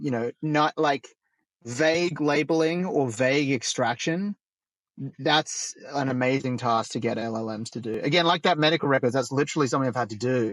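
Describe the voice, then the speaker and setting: The speaker has an Australian accent and a fairly quick pace. The sound is dry and close with no echo, over a quiet background. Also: man, medium pitch for a man, ordinary pitch variation. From rural Australia. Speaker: roundtable facilitator, AI founder. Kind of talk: roundtable discussion.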